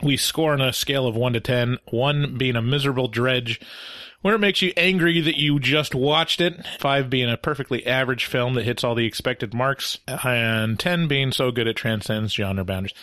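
A man talks at a moderate pace and medium pitch, with an ordinary speaking voice. His loudness stays very even, and his pitch varies in an ordinary way. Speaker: movie review podcast host. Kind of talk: casual comedic review chat. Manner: joking, playful.

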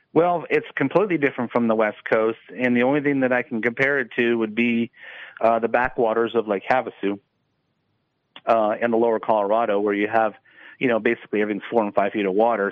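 A man with an American accent talks at a very fast pace, at a medium pitch with ordinary pitch variation. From San Diego, California. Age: 50s. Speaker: professional bass angler. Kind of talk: radio interview. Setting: phone call.

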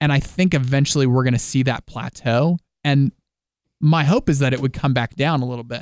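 In a normal speaking voice, someone talks at a fairly quick pace with fairly even intonation, in a dry, close sound with no echo. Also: man, fairly high pitch for a man. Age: 20s. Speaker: podcast co-host. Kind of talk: casual chat.

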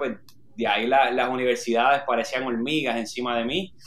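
This man has a normal speaking voice, medium in pitch, and talks at a moderate pace. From Puerto Rico (Orocovis). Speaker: marathon runner. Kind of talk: interview.

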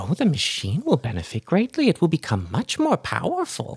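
The speaker puts on a character voice at a fairly quick pace. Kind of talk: grandmotherly menace. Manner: sweet, wheedling, sinister.

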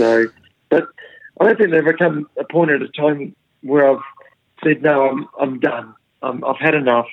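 Talking at a moderate pace with long, frequent pauses, a man uses a fairly high pitch and ordinary pitch variation. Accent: New Zealand. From New Zealand. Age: 50s. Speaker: professional golfer. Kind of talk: interview. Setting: remote call from home. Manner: halting, many fillers and repeats.

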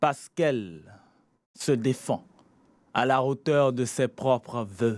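The man talks at a very slow pace. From Benin. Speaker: slam poet. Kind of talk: slam performance; radio interview. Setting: radio studio.

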